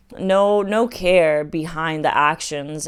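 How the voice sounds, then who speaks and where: A woman with a fairly low pitch and ordinary pitch variation. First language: not English. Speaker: dating and self-help vlogger. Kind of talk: personal vlog monologue. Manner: casual, filler-heavy.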